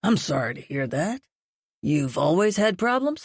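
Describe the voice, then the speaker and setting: At a moderate pace, a raspy put-on character voice at middle pitch moves through very wide pitch swings. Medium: read story. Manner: folksy, falsely friendly.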